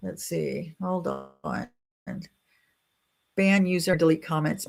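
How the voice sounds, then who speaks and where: A woman speaks with an American accent. Her pace is very slow. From Nebraska, US Midwest. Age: 60s. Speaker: YouTuber talking about life after 60. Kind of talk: live stream chat reading viewer comments. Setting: livestream. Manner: loud; casual, chatty.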